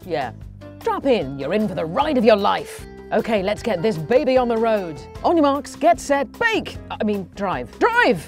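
Faint music plays behind a woman's voice. The sound is dry, with no echo. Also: fairly slow pace. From England. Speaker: TV presenter. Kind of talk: navigation voice prompts, comedic. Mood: playful, jokey. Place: booth. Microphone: studio mic.

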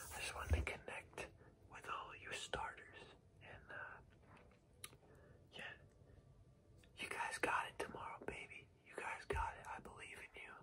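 A man whispers at a fairly slow pace. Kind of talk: casual ASMR-style tutorial. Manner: soft, close ASMR coach talk. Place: home room. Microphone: webcam.

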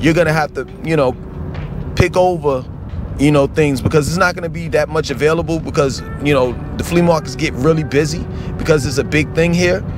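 Music in the background, a man's fairly even intonation, and a dry sound with no echo. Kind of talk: casual vlog chat. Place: car. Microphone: phone near.

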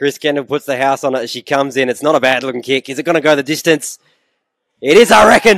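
The speaker is a man with an Australian accent. His pace is fairly quick. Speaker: match commentator. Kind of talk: live commentary. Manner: brisk, lively, upbeat.

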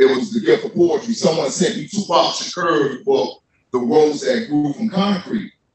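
The recording carries audible room echo along with light background noise. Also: man. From US South. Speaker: poet and formerly incarcerated writer. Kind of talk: panel discussion with spoken word poetry. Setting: stage with audience. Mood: earnest, reflective. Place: hall.

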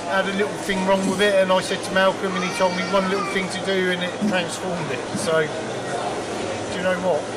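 At a moderate pace, a man speaks over loud background noise. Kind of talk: interview answer. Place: garage. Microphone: handheld.

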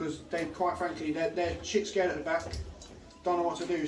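A man races along at a very fast pace while noticeable background noise carries on. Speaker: football manager. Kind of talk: half-time team talk. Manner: blunt, swearing, direct. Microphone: camera far.

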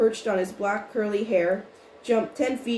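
The recording has reading aloud in a natural voice.

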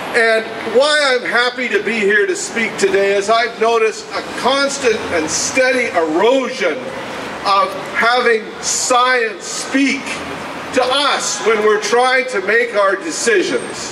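A man speaks in a raised, projected voice at an extremely high pitch, very slowly, with ordinary pitch variation over noticeable background noise. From western Canada. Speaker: environmental campaigner. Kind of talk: rally speech. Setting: outdoor rally with crowd. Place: street. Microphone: camera far.

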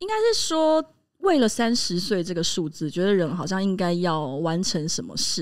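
Lively in intonation, a woman speaks at a medium pitch and a moderate pace against a quiet background. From Taiwan. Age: 30s. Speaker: podcast co-host. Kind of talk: casual chat. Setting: live podcast recording before a small audience. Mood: reflective, thoughtful. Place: studio. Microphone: studio mic.

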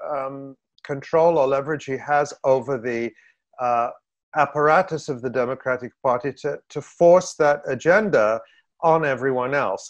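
Over a quiet background, a man speaks at a moderate pace with ordinary pitch variation. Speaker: political commentator. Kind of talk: interview answer. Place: home room. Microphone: webcam.

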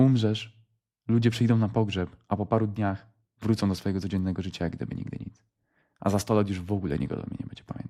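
This man talks at a very fast pace. His voice is fairly low in pitch, with a dark, mellow tone. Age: 20s. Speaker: motivational vlogger. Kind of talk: motivational monologue. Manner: animated.

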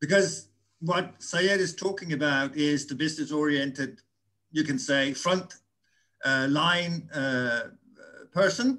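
Over a quiet background, a man with a Danish accent and a fairly high voice talks at a fairly slow pace in a bright, sharp tone, leaving long, frequent pauses. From Denmark. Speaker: audience participant. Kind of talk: panel discussion. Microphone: video call.

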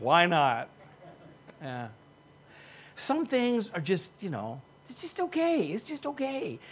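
Slow and high-pitched, a man's voice carries a slightly husky edge and very wide pitch swings.

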